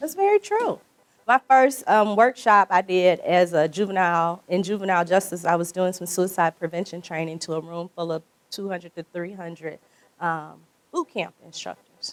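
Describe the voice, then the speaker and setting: Animated in tone, a woman with a Mississippi accent talks at a moderate pace and medium pitch with ordinary pitch variation, in a dry, close sound with no echo. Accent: US Southern, Mississippi. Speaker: workshop facilitator. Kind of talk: workshop discussion. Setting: conference breakout room.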